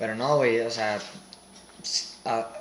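A man with a Mexican accent is recorded with audible room echo and noticeable background noise. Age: 20s. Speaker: medical student. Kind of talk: casual chat.

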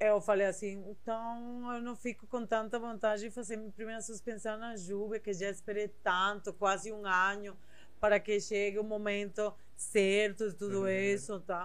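In a Spanish accent, a woman speaks at a medium pitch and a moderate pace with monotone, flat intonation, in a room with audible echo. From southern Spain, Seville. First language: Spanish (speaking Portuguese). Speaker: body piercer and body modification artist. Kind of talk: casual interview chat.

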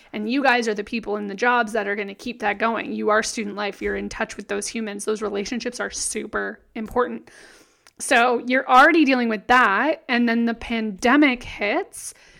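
Vocal fry runs through this voice on a very clean recording with a silent background. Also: woman, fairly high pitch for a woman, fairly even intonation, moderate pace. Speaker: podcast co-host. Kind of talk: casual chat.

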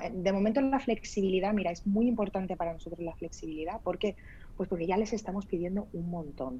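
A somewhat breathy woman's voice at a fairly quick pace. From Spain. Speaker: startup founder. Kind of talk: interview. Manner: halting.

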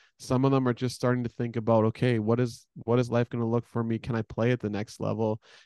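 Over a quiet background, the speech comes very fast with hardly any pauses, in a monotone, flat intonation and a dry, close sound with no echo. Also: man, medium pitch for a man. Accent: Canadian. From Edmonton, Alberta, Canada. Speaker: women's college basketball head coach. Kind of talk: casual interview.

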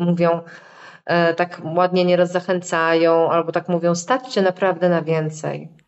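At a moderate pace, a woman delivers her words in a flat monotone at a fairly low pitch. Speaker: psychotherapist. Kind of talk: interview.

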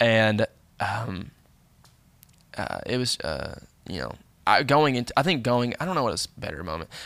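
With vocal fry and a medium pitch, a man speaks at a moderate pace, his pitch swinging very widely between long, frequent pauses. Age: 20s. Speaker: podcast guest, host's younger cousin. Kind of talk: casual chat. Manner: halting, restarts sentences.

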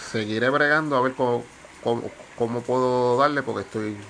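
A man at a moderate pace, medium pitch with ordinary pitch variation, amid noticeable background noise. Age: 40s. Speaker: tabletop game video host. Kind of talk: casual explainer video. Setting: outdoors on carport.

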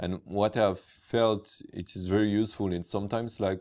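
A man's very deep, low voice with a French accent, at a fairly slow pace with fairly even intonation, against a quiet background. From France. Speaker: podcast host. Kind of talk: casual interview. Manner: halting, many fillers.

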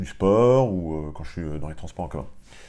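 A man speaks at a very deep, low pitch in a dark, mellow tone. Room echo is audible. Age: 40s. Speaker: online training entrepreneur and business school lecturer. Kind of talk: tutorial. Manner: casual and hesitant, with many fillers.

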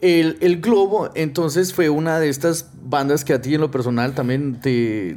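Here a man has an unremarkable speaking voice, fairly high in pitch with ordinary pitch variation. He talks at a fairly slow pace with hardly any pauses. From Guatemala. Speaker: podcast host. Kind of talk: casual chat.

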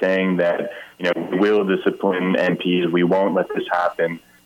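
Noticeable background noise runs through the clip. A man talks over it. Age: 30s. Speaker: politician. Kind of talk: political interview. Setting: phone call.

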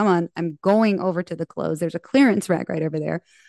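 A woman with an American accent and a normal speaking voice talks at a fairly quick pace and medium pitch, in a dry, close sound with no echo. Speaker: podcast host. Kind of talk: casual interview chat.

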